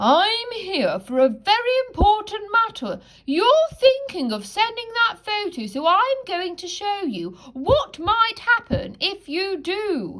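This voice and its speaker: Extremely high pitch in a put-on character voice from a woman. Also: fairly slow pace. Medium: read story. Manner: gentle, wise.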